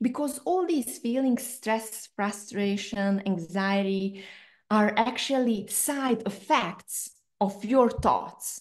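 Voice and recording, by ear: A woman speaks at a slow pace in a medium pitch. Her pitch moves with ordinary variation.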